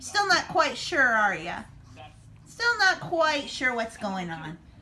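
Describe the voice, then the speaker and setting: A woman's raised, projected voice at a very slow pace with very wide pitch swings, over light background noise. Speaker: family vlogger filming. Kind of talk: casual vlog chat. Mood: cheerful, affectionate. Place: home room. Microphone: phone near.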